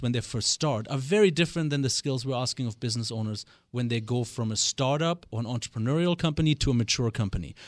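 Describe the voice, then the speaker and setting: A man with a German accent talks at a fairly quick pace, with ordinary pitch variation. The sound is dry and close with no echo, over a quiet background. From West Germany. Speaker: business coach. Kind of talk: radio interview. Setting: studio.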